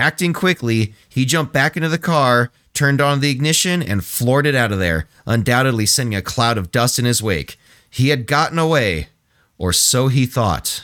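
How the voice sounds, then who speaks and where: A man talks at a moderate pace and medium pitch in a normal speaking voice, with lively intonation and very even loudness. The sound is dry and close with no echo, on a very clean recording with a silent background. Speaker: podcast co-host. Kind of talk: casual comedic podcast chat, reading sources aloud. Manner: relaxed, laid-back, joking.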